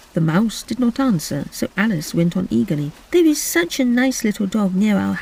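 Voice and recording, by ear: This is a natural voice. It is reading aloud.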